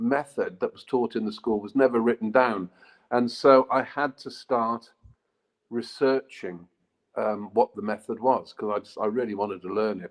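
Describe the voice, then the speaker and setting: A man speaks with a British accent at a moderate pace. The sound is dry and close, with no echo. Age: 60s. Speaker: author and martial arts practitioner. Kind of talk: interview conversation. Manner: hesitant, with many fillers.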